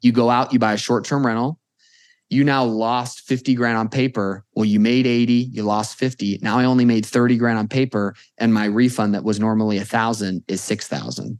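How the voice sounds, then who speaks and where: A normal speaking voice from a man, medium-pitched, fairly quick, with fairly even intonation over a quiet background. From Las Vegas, US. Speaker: accountant. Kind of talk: interview.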